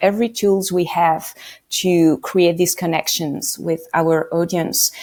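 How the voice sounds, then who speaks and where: Here a woman speaks with a French accent. Her voice has a fairly low pitch and a dark, mellow tone. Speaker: radio producer. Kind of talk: podcast interview.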